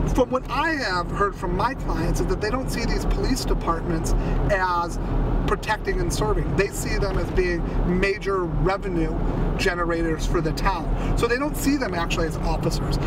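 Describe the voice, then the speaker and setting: Loud background noise runs under a dry sound with no echo. The speech moves at a moderate pace. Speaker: defense lawyer. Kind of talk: ride-along commentary. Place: car.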